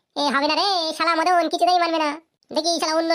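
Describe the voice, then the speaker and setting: Over background sound effects, a cartoonish character voice speaks squeaky and extremely high-pitched at a fairly quick pace. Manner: coarse, swears constantly.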